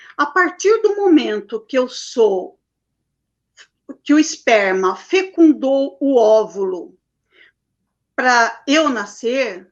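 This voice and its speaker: Speaking at a high pitch, a woman goes very slowly, with very wide pitch swings and long, frequent pauses. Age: 60s. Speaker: holistic therapist. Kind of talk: interview.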